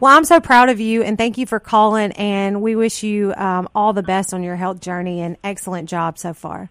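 With an ordinary speaking voice, a woman speaks at a moderate pace and medium pitch, using ordinary pitch variation and hardly any pauses, her loudness swinging widely in a very clean recording with a silent background. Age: 40s. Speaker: natural health podcast host. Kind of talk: health talk interview. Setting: radio studio.

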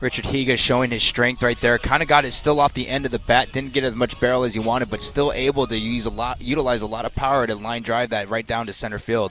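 Very fast male speech at medium pitch, fairly even intonation, hardly any pauses, music in the background. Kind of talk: live colour commentary, analysing the game beside the play-by-play caller. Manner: relaxed, conversational, thinking aloud with some hesitations.

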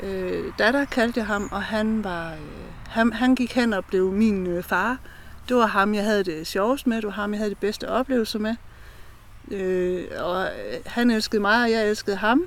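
A woman with a fairly high pitch speaks at a fairly slow pace, her pitch varying in an ordinary way. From Denmark, eastern Jutland (Brejning Strand). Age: 40s. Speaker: mental health ambassador. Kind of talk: personal testimony. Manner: halting.

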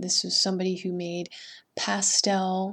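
At a very slow pace, a woman speaks in a monotone, flat delivery at medium pitch, captured in a very clean recording with a silent background. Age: 30s. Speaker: painter and art teacher hosting a podcast. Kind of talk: solo podcast monologue.

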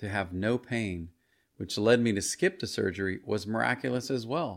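With ordinary pitch variation and a moderate pace, a normal speaking voice comes through on a very clean recording against a silent background. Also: man. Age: 50s. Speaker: pastor and podcast host. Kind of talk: testimony read from his audiobook.

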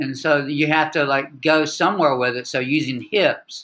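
On a very clean recording with a silent background, a man with a Southern accent, a fairly high pitch and a bright, sharp tone speaks at a moderate pace with fairly even intonation. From US South, North Carolina (Wilmington). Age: 60s. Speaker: army veteran and yoga practitioner. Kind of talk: interview.

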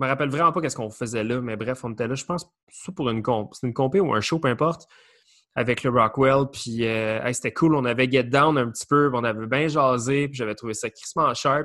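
A man talks fairly quickly at a medium pitch. His tone is bright and sharp, with ordinary pitch variation. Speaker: podcast host, breakdancer. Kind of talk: casual chat.

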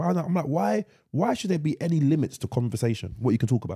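This man speaks very fast with an English accent and a fairly high pitch. His pitch swings very widely, and there is vocal fry in his voice. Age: 30s. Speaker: podcast co-host. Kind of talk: casual chat.

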